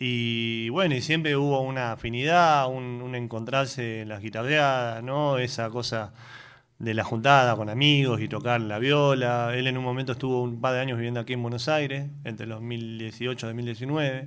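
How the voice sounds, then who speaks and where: Audible room echo surrounds a man speaking at a moderate pace. His medium-pitched voice has fairly even intonation. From Argentina, Tierra del Fuego and Neuquén. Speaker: folk guitarist and songwriter. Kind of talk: radio interview.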